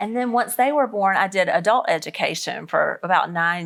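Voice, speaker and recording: A woman with a Southern US accent speaks at a fairly quick pace. There is noticeable background noise. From US South. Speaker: author and speaker. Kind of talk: interview. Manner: casual, conversational.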